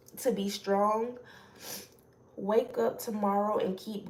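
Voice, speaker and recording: A woman talks at a very slow pace, and room echo is audible. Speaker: spiritual channeler. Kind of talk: spiritual message reading. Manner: casual; loud.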